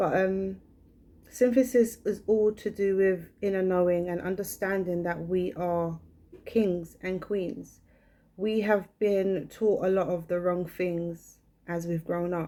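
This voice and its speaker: A woman speaks very slowly in a dark, mellow voice at medium pitch. Her intonation stays fairly even. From England. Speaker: brand owner. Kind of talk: personal vlog monologue.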